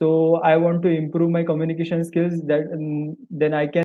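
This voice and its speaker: A man with an Indian accent, fairly high in pitch, monotone and flat in intonation, at a moderate pace. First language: Marathi. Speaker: English learner, sales professional. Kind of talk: tutoring session. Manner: halting.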